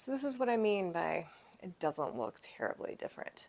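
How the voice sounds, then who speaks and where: At a moderate speed, a soft-spoken woman is talking. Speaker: home renovation vlogger. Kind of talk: casual vlog. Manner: quiet, soft-spoken.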